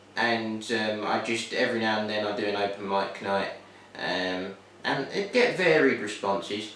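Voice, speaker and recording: A man with a Cockney accent, fairly low-pitched, at a fairly slow pace and with fairly even intonation, audible room echo and noticeable background noise. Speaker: student. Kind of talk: interview. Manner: halting, many fillers.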